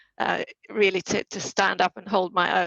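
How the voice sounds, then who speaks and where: The voice, in a Swedish accent, carries vocal fry. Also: woman. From Sweden. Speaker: private banking head. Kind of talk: panel talk.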